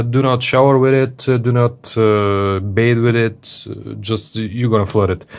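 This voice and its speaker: Over a quiet background, a man with a non-native accent speaks at a fairly slow pace. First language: not English. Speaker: watch reviewer. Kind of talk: product review video. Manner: casual, many hesitations.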